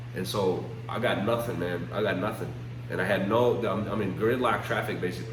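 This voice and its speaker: Amid noticeable background noise and audible room echo, a man with an American accent talks at a fairly quick pace and medium pitch. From United States. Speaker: vlogger, father. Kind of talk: casual monologue vlog. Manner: halting, repetitive; emotional, choked up.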